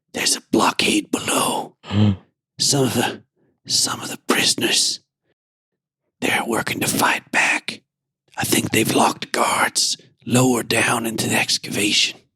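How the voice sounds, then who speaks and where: A man whispers in a raspy, put-on character voice at a moderate pace, with long, frequent pauses. The sound is dry and close, with no echo. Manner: whispering, hushed.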